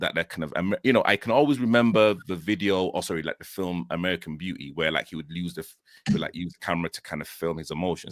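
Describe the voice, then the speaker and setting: In a Yorkshire accent, a man talks at a very fast pace with a very deep, low pitch and ordinary pitch variation, in a dry, close sound with no echo. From northern England, Leeds. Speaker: guest sharing mental health story. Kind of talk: personal testimony. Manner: halting, many fillers.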